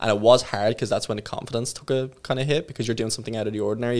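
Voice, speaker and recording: A man's very fast, medium-pitched speech with an Irish accent and fairly even intonation, over noticeable background noise. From Ireland, small town. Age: 20s. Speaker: online fitness coach. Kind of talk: casual interview chat.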